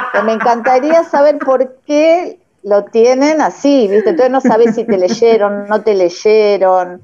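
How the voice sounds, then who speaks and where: In a plain, everyday voice, the speaker moves at a fairly slow pace with hardly any pauses, lively intonation and very even loudness. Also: woman, fairly high pitch for a woman. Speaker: participant. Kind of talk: casual chat.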